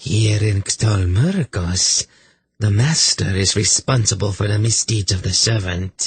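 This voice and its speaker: This put-on character voice is guttural and fairly slow, with a dry, close sound and no echo. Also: man, fairly low pitch for a man. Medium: read story. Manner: smug, mocking.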